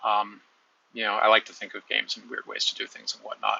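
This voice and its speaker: A man with an American accent. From United States. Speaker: YouTuber discussing sports. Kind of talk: casual monologue. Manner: halting, many fillers.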